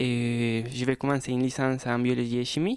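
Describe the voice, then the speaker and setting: A man speaks fairly slowly at a medium pitch, with a Spanish accent. The sound is dry and close with no echo. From Colombia, Bogotá. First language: Spanish (speaking French). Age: 20s. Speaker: student. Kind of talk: radio interview. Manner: halting.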